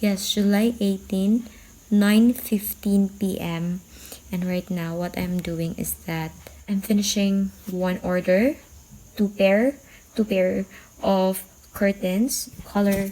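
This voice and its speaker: Quiet and very slow, a woman with a Visayan Filipino accent speaks at a medium pitch with fairly even intonation and long, frequent pauses. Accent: Filipino (Cebuano) English. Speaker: vlogger and seamstress. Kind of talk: casual vlog. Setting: at home at night. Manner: quiet, lowered voice.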